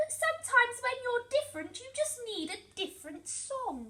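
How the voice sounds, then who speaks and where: Putting on a squeaky character voice at an extremely high pitch, a woman speaks at a moderate pace with very wide pitch swings and big swings in loudness. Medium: read story.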